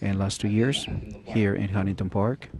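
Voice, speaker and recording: With a non-native accent, a man speaks at a fairly low pitch with ordinary pitch variation. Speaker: police officer and adult school teacher. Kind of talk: testimony at a town hall. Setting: public town hall meeting in a school cafeteria.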